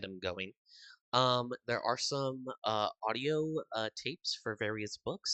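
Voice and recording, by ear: Natural-voiced reading aloud, with quiet all around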